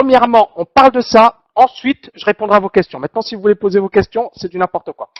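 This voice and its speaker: A man with a high voice talks at a very fast pace with hardly any pauses. His loudness swings widely. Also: ordinary pitch variation. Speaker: trading coach. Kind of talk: webinar presentation. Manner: hesitant fillers.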